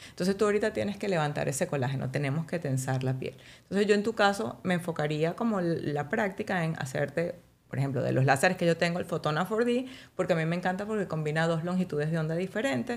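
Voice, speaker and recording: A woman with a fairly low pitch talks at a very fast pace with lively intonation. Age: 40s. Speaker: physician specializing in aesthetic medicine; guest. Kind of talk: casual interview. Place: studio. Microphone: studio mic.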